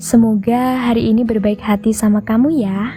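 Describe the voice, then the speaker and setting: Over music in the background, a soft-spoken woman talks at a fairly slow pace in a calm, soothing tone. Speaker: sleep story narrator. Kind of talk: sleep story. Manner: soft-spoken, calm, soothing.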